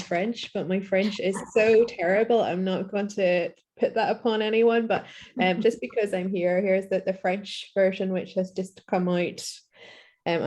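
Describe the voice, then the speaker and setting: Against a quiet background, a woman with a strong Northern Irish accent speaks at a moderate pace, her medium-pitched voice dark and mellow in tone, with fairly even intonation. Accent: thick Northern Irish. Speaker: author reading from own novel. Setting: book reading event with audience questions. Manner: casual, hesitant with fillers.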